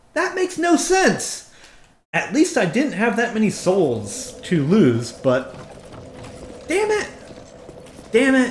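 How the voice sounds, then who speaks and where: A man speaks at a very slow pace with an extremely high pitch and very wide pitch swings. Long, frequent pauses break up his speech, and audible room echo surrounds it. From New Jersey. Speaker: video game streamer. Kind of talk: live gameplay commentary. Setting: live stream. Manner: animated.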